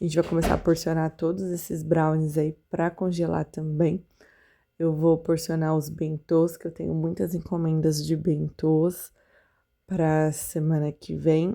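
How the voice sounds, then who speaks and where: A woman with a very deep, low pitch and a dark, mellow tone speaks at a fairly slow pace in a monotone, flat intonation. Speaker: confectioner vlogger. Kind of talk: vlog voiceover narration. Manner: casual, conversational.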